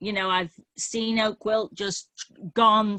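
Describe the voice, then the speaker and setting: Against a quiet background, a woman's bright, sharp tone comes through in a dry, close sound with no echo. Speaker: landowner in meeting Q&A. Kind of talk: Q&A discussion.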